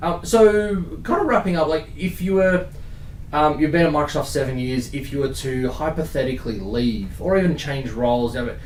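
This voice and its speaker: The speaker moves at a moderate pace with lively intonation. Audible room echo and noticeable background noise are present. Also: man, fairly high pitch for a man. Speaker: podcast host. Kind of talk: casual interview.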